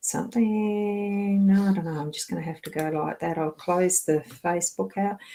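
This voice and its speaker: Putting on a character voice, a woman mumbles at medium pitch and a moderate pace, with hardly any pauses. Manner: mumbling.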